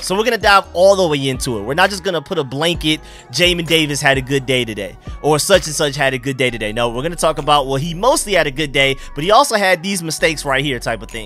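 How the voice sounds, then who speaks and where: A man speaks at a very fast pace. The sound is dry with no echo, and faint music plays in the background. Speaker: sports fan channel host. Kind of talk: sports commentary vlog. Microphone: studio mic.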